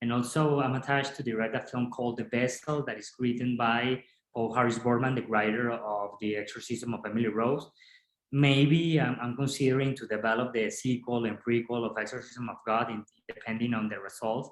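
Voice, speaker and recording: A man at medium pitch, fairly quick in pace, with monotone, flat intonation. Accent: Spanish. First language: Spanish. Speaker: film director. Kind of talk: interview. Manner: halting, many repetitions.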